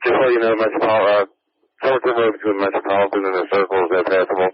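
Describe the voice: A man talks fast in a low voice with little pitch movement.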